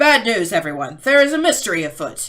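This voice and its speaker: It's a put-on character voice, fairly high in pitch, with very wide pitch swings. The delivery moves at a fairly quick pace. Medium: read story.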